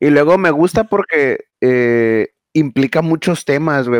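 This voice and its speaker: A man speaks at a fairly high pitch with ordinary pitch variation. The sound is dry and close with no echo. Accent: Mexican. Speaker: podcast co-host. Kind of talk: casual chat.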